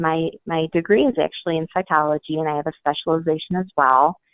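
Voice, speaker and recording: At a very fast pace, a woman speaks with a very deep, low pitch. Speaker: marketing director. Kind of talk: interview answer.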